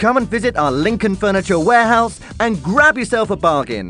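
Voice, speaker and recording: Over music in the background, a man with a high pitch talks in a raised, projected voice at a fairly quick pace with lively intonation. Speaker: voice actor. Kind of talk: radio commercial read.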